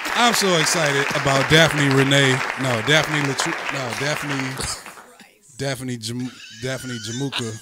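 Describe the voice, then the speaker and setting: A man speaks at a very slow pace with fairly even intonation and long, frequent pauses. Music plays in the background, and the room echo is audible. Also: medium pitch for a man. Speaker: radio show host. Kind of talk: casual morning show banter. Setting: radio studio. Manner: stuttering at times.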